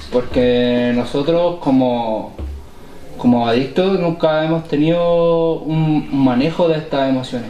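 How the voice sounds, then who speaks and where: Amid audible room echo and noticeable background noise, a man speaks at a very slow pace with ordinary pitch variation. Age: 20s. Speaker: recovering addict in a community podcast. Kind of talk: casual podcast conversation.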